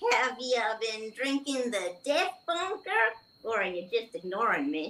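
In a put-on character voice, a female-sounding voice pitched fairly high makes very wide pitch swings. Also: moderate pace. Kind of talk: comic sci-fi book reading. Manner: chatty, slightly annoyed.

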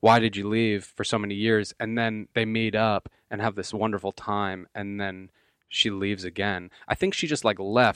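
A man speaks at a moderate pace in an ordinary speaking voice, fairly low with fairly even intonation. The sound is dry and close with no echo, and the background is quiet. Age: 20s. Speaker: podcast co-host. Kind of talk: casual chat.

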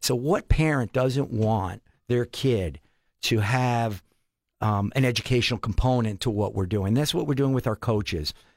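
In a very clean recording with a silent background, a man with a normal speaking voice and medium pitch talks at a moderate pace, with ordinary pitch variation and very even loudness. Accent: American. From Pennsylvania, Allentown area. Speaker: sports foundation director. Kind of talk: casual interview. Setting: studio.

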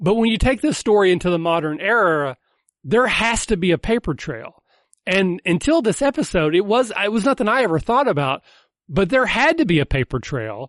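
Speaking with an American accent, this voice makes very wide pitch swings at a fairly quick pace. The sound is dry and close with no echo, over a quiet background. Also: man, high pitch for a man. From US South. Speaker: podcast host. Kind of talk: casual chat.

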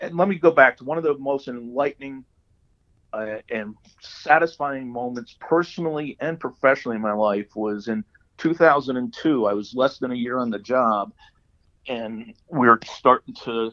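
Speaking at a moderate pace, a man with a plain, everyday voice uses a medium pitch and ordinary pitch variation. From Hudson Valley, New York. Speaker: retired government spokesman. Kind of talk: interview. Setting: phone call.

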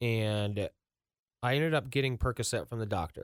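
A man's plain, everyday voice, medium in pitch with an American accent, lively intonation and a moderate pace, on a very clean recording with a silent background. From Ross, Ohio (Cincinnati area). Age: 30s. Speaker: recovery nonprofit founder. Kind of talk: personal testimony in interview.

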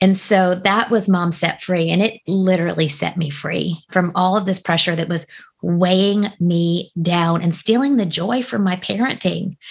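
Somewhat breathy, a woman talks at a medium pitch with ordinary pitch variation. She keeps a moderate pace with hardly any pauses. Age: 40s. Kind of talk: interview conversation.

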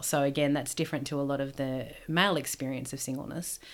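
Delivered at a very fast pace in an Australian accent, the speech comes through in a very clean recording with a silent background. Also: woman. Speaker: PhD student and former women's minister. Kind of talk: interview.

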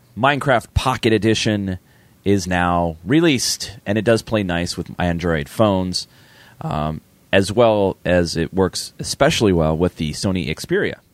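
A man with a raspy, very deep voice speaks at a fairly slow pace, the sound dry and close with no echo. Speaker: gaming podcast co-host. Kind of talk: casual chat with gameplay commentary.

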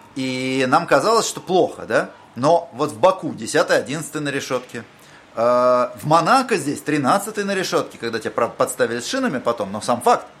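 A man's fairly high voice at a moderate pace, with very wide pitch swings, big jumps in loudness and noticeable background noise. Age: 40s. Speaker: podcast host. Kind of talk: interview.

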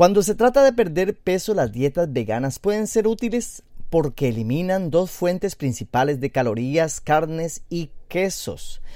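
In a very clean recording with a silent background, a man with a high pitch and a dark, mellow tone speaks at a fairly slow pace, with very wide pitch swings and hardly any pauses. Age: 40s. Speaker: internet radio host. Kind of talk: casual radio talk on diet and health.

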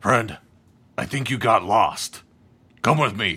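Using a put-on character voice, a man sounds raspy at a medium pitch. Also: fairly slow pace. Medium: actual play. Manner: slow, muddled, broken grammar.

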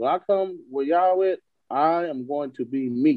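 A plain, everyday voice from a man, pitched fairly high, its pitch varying in an ordinary way. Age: 20s. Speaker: podcast co-host. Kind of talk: casual chat.

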